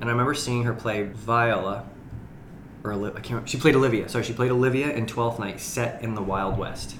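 A man speaks at a fairly quick pace with an American accent and a medium pitch. His intonation stays fairly even, and there is noticeable background noise. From far northern Maine, US. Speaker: actor and playwright. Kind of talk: casual chat. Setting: studio.

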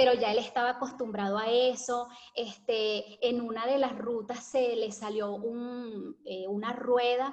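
A woman talks at a fairly slow pace with hardly any pauses, her pitch high and her intonation flat and monotone. Noticeable background noise runs underneath. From Venezuela (Caracas, Valencia). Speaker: hair care content creator. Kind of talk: interview conversation.

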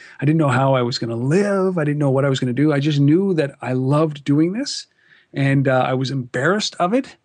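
Over a quiet background, a man with a Canadian accent talks fairly quickly at a fairly high pitch in a plain, everyday voice with ordinary pitch variation. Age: 40s. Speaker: entrepreneur, media founder. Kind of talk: interview.

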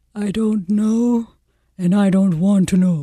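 The voice sounds female and is a put-on character voice at middle pitch. It moves at a fairly slow pace.

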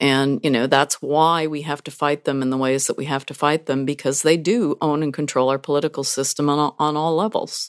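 Very deep and low in pitch, a woman speaks at a fairly quick pace with fairly even intonation and hardly any pauses, in a dry, close sound with no echo. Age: 60s. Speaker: climate activist, retired lawyer. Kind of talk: radio interview. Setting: remote from Seattle.

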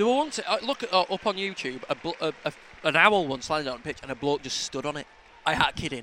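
With a Yorkshire accent, a man talks at a fairly quick pace in a high pitch with lively intonation. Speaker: football fan podcast co-host. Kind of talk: casual chat.

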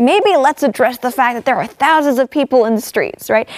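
Lively intonation from a woman at a fairly quick pace, the sound dry and close with no echo. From Hong Kong. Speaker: TV host. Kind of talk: casual panel discussion. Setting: studio.

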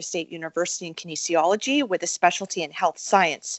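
Speaking at a very fast pace, a woman delivers her words. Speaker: podcast host. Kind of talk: interview; guest introduction.

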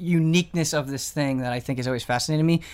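Pitched fairly high, a man speaks in an unremarkable speaking voice with ordinary pitch variation. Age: 20s. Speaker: video game podcast host. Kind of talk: casual chat.

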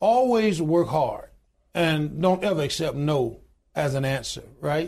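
A man's fairly slow delivery with lively intonation. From US South, Alabama. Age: 60s. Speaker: union leader and pastor. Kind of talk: interview.

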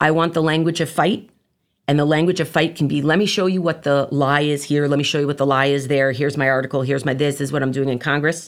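On a very clean recording with a silent background, a woman with a very deep, low pitch speaks very fast with fairly even intonation and very even loudness. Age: 40s. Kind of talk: teaching from classical texts.

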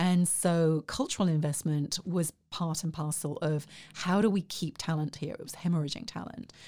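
In an English accent, a woman with a dark, mellow tone speaks at a moderate pace on a very clean recording with a silent background. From southeast England. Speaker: arts organization director. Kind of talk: interview. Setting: studio, in person.

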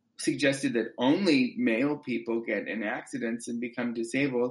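The delivery has a moderate pace and ordinary pitch variation. It is an ordinary speaking voice. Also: man. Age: 20s. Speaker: actor and playwright. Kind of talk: interview.

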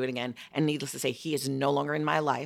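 A woman speaks with an American accent in a bright, sharp tone. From Chicago. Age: 50s. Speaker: podcast host.

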